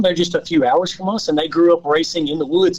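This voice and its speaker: In a Southern US accent, a man speaks with a high pitch. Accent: Southern drawl. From Louisiana. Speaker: off-road racer and engineer. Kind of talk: podcast interview.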